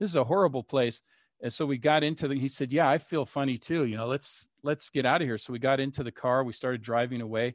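Against a quiet background, a man with an American accent speaks at a very fast pace with ordinary pitch variation in a dry, close sound with no echo. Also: medium pitch for a man. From Seattle, US Pacific Northwest. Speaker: history professor and author. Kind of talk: casual interview.

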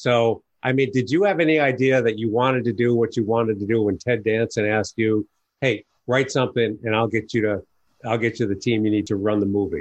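It is a normal speaking voice with an American accent at a fairly quick pace. Intonation is fairly even, loudness very even and the background quiet. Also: man, medium pitch for a man. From New York. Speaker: podcast host, business advisor. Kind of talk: interview.

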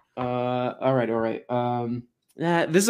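A man with an American accent and an ordinary speaking voice, medium in pitch with ordinary pitch variation, on a very clean recording with a silent background. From Miami, Florida. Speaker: YouTuber, political reaction channel. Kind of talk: casual interview chat. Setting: live stream.

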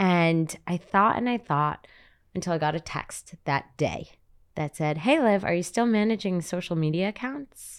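With a plain, everyday voice and lively intonation, the speaker moves at a moderate pace on a very clean recording with a silent background. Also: woman, fairly low pitch for a woman. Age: 20s. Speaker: social media creator and event host. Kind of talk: casual chat.

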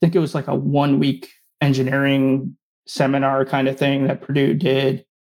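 This is a man with an unremarkable speaking voice and an American accent. He speaks fairly quickly at a fairly high pitch. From New Jersey, near New York City. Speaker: aerospace engineer, flight director. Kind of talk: interview. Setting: remote call.

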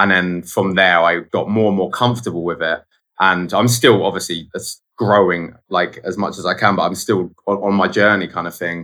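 A man in a southern English accent, fairly low in pitch, bright and sharp in tone, at a moderate pace with fairly even intonation. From southern England (Guildford, Surrey). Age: 20s. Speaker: photographer. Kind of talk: casual interview. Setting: video call.

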